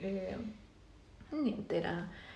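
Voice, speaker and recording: A woman of medium pitch talks in a Spanish accent, with audible room echo and noticeable background noise. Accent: Spanish-accented Italian. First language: Spanish (speaking Italian). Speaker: podcast host. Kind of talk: casual chat.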